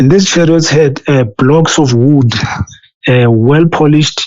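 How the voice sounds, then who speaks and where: A man with a non-native accent and a fairly high pitch, speaking at a very slow pace with fairly even intonation. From South Africa. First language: not English. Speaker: former assistant pastor. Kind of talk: testimony. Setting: interview. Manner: halting.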